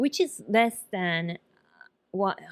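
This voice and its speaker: With a Japanese accent, a woman speaks at a fairly low pitch in a very clean recording with a silent background and a dry, close sound with no echo. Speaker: nurse practitioner. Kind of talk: casual talk to camera.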